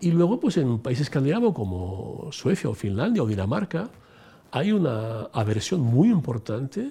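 A man speaks at a moderate pace and medium pitch, with very wide pitch swings. His tone is dark and mellow, and somewhat breathy. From Italy (Rome). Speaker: former senior EU civil servant. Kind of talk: interview.

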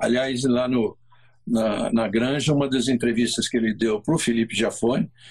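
The voice belongs to a man and is somewhat breathy. He keeps a moderate pace. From Brazil. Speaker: motorsport co-host. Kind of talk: casual chat.

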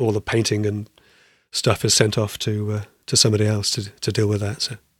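The recording is very clean, with a silent background. A man with a fairly low, somewhat breathy voice talks at a fairly quick pace. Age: 50s. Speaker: carpenter and cabinet maker, podcast co-host. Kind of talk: casual chat.

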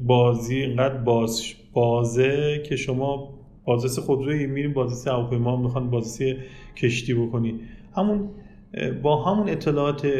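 A man's medium-pitched, dark, mellow voice, somewhat breathy, with ordinary pitch variation, a moderate pace, long and frequent pauses, and audible room echo. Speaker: automotive inspection engineer and company manager. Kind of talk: interview.

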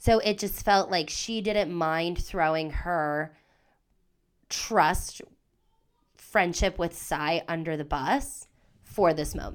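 Speaking at a very slow pace with long, frequent pauses, a woman with a fairly low voice uses ordinary pitch variation in a very clean recording with a silent background. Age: 30s. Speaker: podcast co-host. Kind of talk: casual chat.

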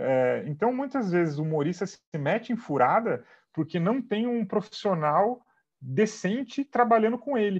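Against a quiet background, a man with a high pitch talks at a fairly slow pace, his pitch swinging very widely. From Brazil, Sorocaba (São Paulo state). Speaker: comedian. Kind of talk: casual interview chat.

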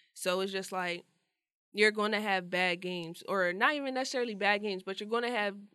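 At a fairly quick pace, the voice comes through bright and sharp on a very clean recording with a silent background. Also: woman. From New Jersey. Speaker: college basketball player. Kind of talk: casual interview. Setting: studio.

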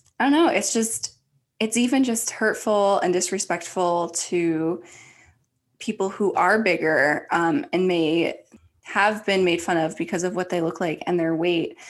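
Against a quiet background, a woman talks at a fairly slow pace in an ordinary speaking voice, medium in pitch with ordinary pitch variation. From Ohio, US Midwest. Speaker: podcast co-host. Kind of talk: casual chat.

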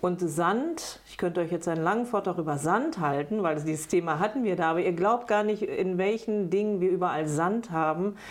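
With hardly any pauses, a plain, everyday voice speaks with ordinary pitch variation. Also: woman, medium pitch for a woman, moderate pace. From Bad Lippspringe, East Westphalia, Germany. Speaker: politician, state parliament candidate. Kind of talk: interview.

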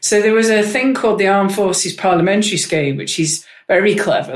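At a fairly quick pace, a woman speaks in a northern English accent with ordinary pitch variation. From Manchester, northern England. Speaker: member of parliament. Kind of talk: casual interview chat. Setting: office.

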